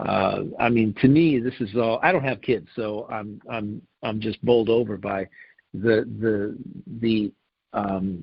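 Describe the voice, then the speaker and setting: A man with a fairly low pitch and ordinary pitch variation speaks at a fairly slow pace. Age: 60s. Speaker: podcast co-host. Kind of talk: casual chat. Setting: internet radio show. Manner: halting, many repeated words.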